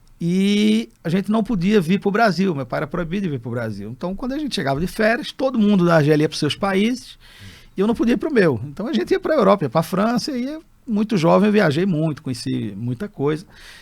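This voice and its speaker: In a very clean recording with a silent background, a man with a high pitch talks at a fairly quick pace, his pitch swinging very widely. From Brazil (childhood in Algeria). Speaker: entrepreneur. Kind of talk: interview storytelling. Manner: halting with self-corrections.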